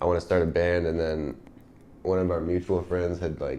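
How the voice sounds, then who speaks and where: A very deep, low male voice in a flat monotone with an American accent. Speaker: indie pop musician. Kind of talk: casual interview.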